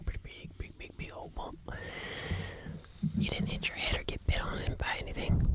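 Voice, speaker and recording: A woman at a moderate pace, dry with no echo, under loud background noise. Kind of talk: soft-spoken roleplay chat. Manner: soft, close ASMR speaking voice. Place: home room. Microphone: earbuds.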